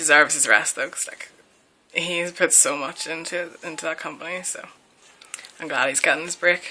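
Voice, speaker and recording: A woman with a strong Northern Irish accent and fairly low pitch, at a moderate pace with ordinary pitch variation, long and frequent pauses, big swings in loudness, and noticeable background noise. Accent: broad Northern Irish. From Northern Ireland. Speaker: vlogger. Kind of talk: casual Q&A chat. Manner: casual, many fillers.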